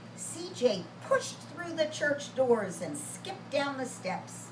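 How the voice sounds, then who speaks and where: Over noticeable background noise and audible room echo, the speaker talks at a very slow pace with very wide pitch swings. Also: woman. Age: 70s. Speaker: children's storyteller. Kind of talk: reading aloud to children; casual chat to children.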